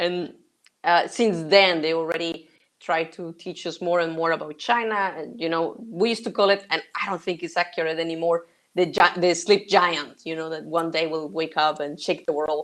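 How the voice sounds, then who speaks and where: Against a quiet background, a woman with a Spanish accent talks at a moderate pace in a fairly low voice with fairly even intonation. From Mexico. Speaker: sourcing consultant. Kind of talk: interview. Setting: live stream.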